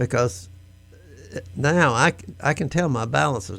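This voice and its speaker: This voice moves at a fairly slow pace, with vocal fry and very wide pitch swings. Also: man. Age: 80s+. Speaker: nonprofit board member. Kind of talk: radio interview.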